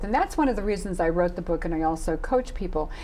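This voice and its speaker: The speech races along at a very fast clip with lively intonation. Noticeable background noise sits behind it. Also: woman. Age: 60s. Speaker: author and dating coach. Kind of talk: interview. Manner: animated.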